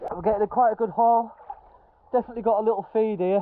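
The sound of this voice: The man talks at a fast pace with a high pitch. His intonation stays fairly even.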